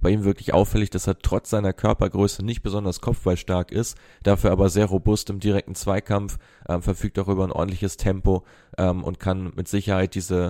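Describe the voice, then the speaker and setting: A man speaks at a very deep, low pitch with a dark, mellow tone, his delivery monotone and flat at a fairly quick pace. The recording is very clean with a silent background, and the sound is dry and close with no echo. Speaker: football data analyst. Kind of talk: analytical segment.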